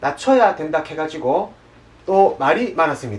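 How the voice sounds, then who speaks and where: Speaking at a fairly slow pace, a man has a Daegu accent. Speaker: news show host. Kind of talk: satirical news show presenting.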